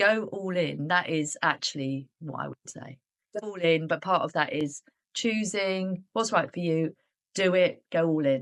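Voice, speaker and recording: A woman with a British accent, fairly low in pitch, at a fairly slow pace, with big swings in loudness and ordinary pitch variation. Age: 60s. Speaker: business owner, coaching client. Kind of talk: interview.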